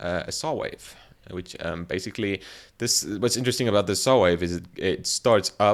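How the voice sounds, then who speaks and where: The recording is very clean with a silent background. A man speaks at a fairly quick pace in a fairly low pitch with ordinary pitch variation. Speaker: music producer / YouTuber. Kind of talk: tutorial. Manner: halting, many fillers and repeats; casual.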